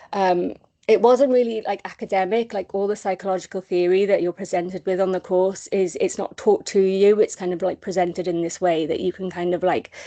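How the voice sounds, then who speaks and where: A woman with a dark, mellow tone speaks at a medium pitch and a fairly quick pace. Her intonation stays fairly even, with hardly any pauses. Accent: Welsh. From Wales, small village. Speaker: charity comms officer, person in recovery. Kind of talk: recovery testimony on a webinar. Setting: online webinar. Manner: hesitant, many fillers.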